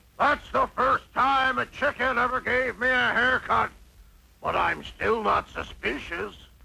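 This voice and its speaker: A man's cartoonish character voice, extremely high in pitch, at a fairly slow pace. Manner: gruff, slow.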